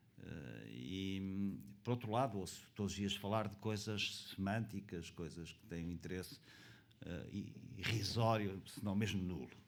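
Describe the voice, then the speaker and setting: Big swings in loudness mark a man's fairly slow speech, fairly low in pitch with ordinary pitch variation and audible room echo. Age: 70s. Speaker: conference panelist, pensions expert. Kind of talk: panel talk. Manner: halting, many fillers.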